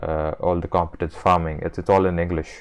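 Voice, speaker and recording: With an Indian accent, a man speaks quite quickly in a very deep, low pitch and monotone, flat intonation. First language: Marathi. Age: 20s. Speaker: video essayist. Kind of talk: casual monologue. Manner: halting, many fillers and repetitions.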